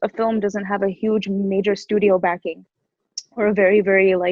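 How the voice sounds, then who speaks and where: This woman's voice sits fairly high. She speaks with an American accent. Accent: American accent noted in India. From USA, Indian heritage. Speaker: actress. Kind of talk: interview. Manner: animated.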